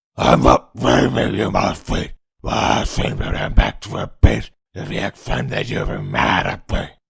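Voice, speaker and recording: Using a put-on character voice, a man mumbles at a moderate pace, his raspy voice at a fairly low pitch. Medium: dub. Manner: mumbled, hard to understand.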